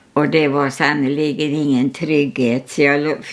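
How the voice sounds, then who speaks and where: A woman with very deep, low pitch speaks at a fairly slow pace with fairly even intonation. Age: 100s (103 years old). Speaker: artist. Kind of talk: casual chat. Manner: halting.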